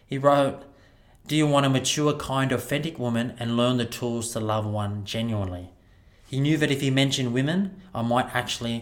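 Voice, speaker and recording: Speaking with an Australian accent, a man shows ordinary pitch variation. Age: 30s. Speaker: podcast host and wellbeing speaker. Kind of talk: keynote talk.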